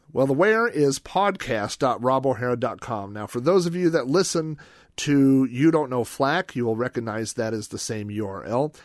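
An unremarkable speaking voice from a man, medium in pitch, at a moderate pace with lively intonation, on a very clean recording with a silent background. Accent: American. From Oklahoma, US (Yukon). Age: 40s. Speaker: podcast host. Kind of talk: reading aloud from his own book; solo podcast monologue.

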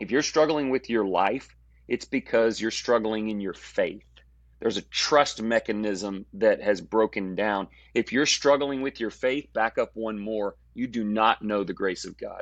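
In a dry, close sound with no echo and a quiet background, a man with an unremarkable speaking voice talks at a fairly slow pace and medium pitch with ordinary pitch variation. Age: 40s. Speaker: preacher. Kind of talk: casual chat.

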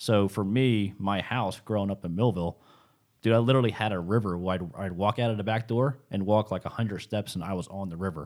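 On a very clean recording with a silent background, a man with an American accent uses an unremarkable speaking voice, fairly low in pitch with ordinary pitch variation, at a fairly quick pace. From South Jersey, US. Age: 30s. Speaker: professional bass angler and fishing guide. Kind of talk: casual interview. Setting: studio.

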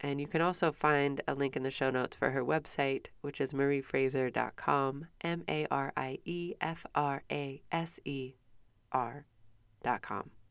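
In a Midwestern American accent, a woman talks at a fairly slow pace with a very deep, low pitch and fairly even intonation. The recording is very clean, with a silent background. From US Midwest. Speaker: podcast host. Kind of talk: casual interview chat.

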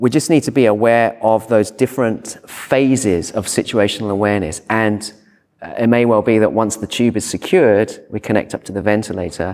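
A man speaks with a British accent at a medium pitch. His pace is moderate and his pitch varies in an ordinary way. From Britain. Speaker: emergency physician. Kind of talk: conference talk. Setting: stage with audience.

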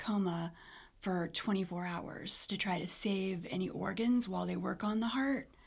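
A woman speaks at a moderate pace and a medium pitch in a somewhat breathy voice. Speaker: cardiac arrest survivor. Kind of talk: personal testimony.

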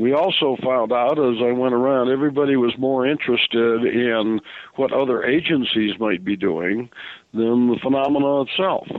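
The speaker has an unremarkable speaking voice and keeps a moderate pace. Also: man. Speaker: author and UFO researcher. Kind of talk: radio interview.

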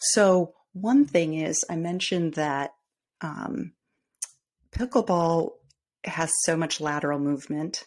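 Pausing long and often, a woman with a Midwestern US accent speaks very slowly in a fairly low voice with lively intonation. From US Midwest. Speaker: podcast host and former fitness trainer. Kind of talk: solo monologue, informal tips. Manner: conversational, filler words, hesitant.

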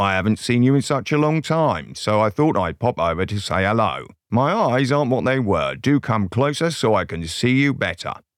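A man puts on a gravelly character voice at a medium pitch. He keeps a moderate pace with hardly any pauses.

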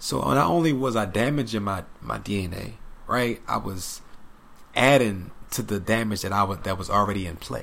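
Fairly low-pitched male voice, animated in tone, with lively intonation, a moderate pace and audible room echo. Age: 30s. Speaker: spiritual podcast guest. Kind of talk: casual chat.

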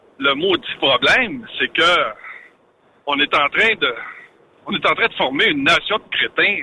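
A man speaks at a fairly slow pace. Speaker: trucking industry commentator. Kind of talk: casual chat.

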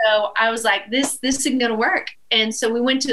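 A fairly high-pitched woman with an East Texas accent, at a moderate pace. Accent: East Texas Southern. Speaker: country musician. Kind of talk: casual chat. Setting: live show with audience.

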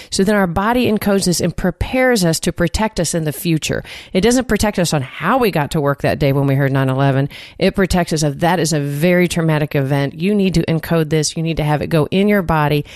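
Her voice fairly low, a woman talks very fast with lively intonation and very even loudness. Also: dry, close sound with no echo. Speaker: therapist and podcast co-host. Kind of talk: casual discussion podcast.

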